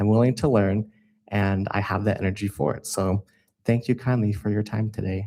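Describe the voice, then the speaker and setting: An ordinary speaking voice from a man with an American accent, fairly low in pitch, at a moderate pace with fairly even intonation, in a very clean recording with a silent background. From Utah. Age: 20s. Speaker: city council applicant. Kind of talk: interview statement.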